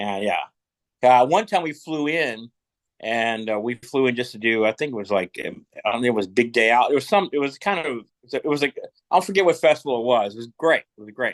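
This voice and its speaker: In a Southern US accent, a man speaks at a fairly quick pace with medium pitch. His intonation is lively, and the sound is dry and close with no echo. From Kentucky. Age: 60s. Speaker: rock musician. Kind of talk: casual chat. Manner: halting.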